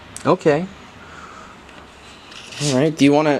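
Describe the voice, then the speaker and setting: Noticeable background noise sits behind the voice. A man speaks at a moderate pace in a fairly high pitch. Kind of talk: casual interview questions.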